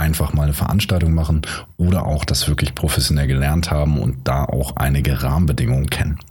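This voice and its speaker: A man's very deep, low voice at a fairly quick pace, with fairly even intonation, audible room echo and noticeable background noise. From Hamburg, northern Germany. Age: 30s. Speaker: podcast host, event manager. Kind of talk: solo podcast monologue, tutorial.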